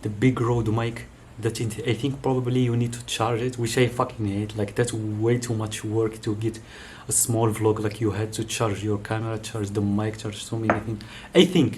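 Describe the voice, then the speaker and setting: A man's medium-pitched voice with a non-native accent, fairly even intonation and a moderate pace. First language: not English. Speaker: YouTuber reviewing gear. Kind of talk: casual unboxing vlog. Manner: halting, many fillers and restarts. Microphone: far from the camera; camera built-in mic.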